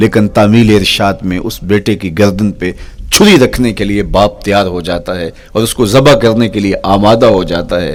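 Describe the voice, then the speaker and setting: This man has an ordinary speaking voice, pitched fairly low, and his intonation stays fairly even. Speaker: Islamic preacher. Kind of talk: Islamic sermon (bayan).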